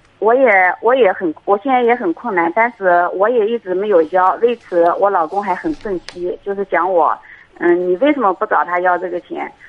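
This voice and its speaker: A woman with a plain, everyday voice speaks at a medium pitch with lively intonation. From Anhui, China. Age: 40s. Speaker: caller. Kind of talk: call-in advice conversation. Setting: phone call.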